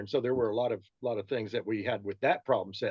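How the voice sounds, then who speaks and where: A man talks at a fairly quick pace and a medium pitch. It is a plain, everyday voice. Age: 60s. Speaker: physician and military veteran. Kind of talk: talk show interview.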